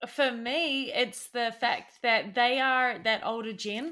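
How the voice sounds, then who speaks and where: A bright, sharp tone in a New Zealand accent, delivered at a very slow pace. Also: woman. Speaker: podcast co-host. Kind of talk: casual chat.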